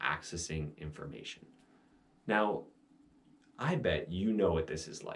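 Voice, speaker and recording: The man's delivery moves at a fairly slow pace. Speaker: meditation teacher. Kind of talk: instructional talk on meditation. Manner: slowed, meditative voice at times.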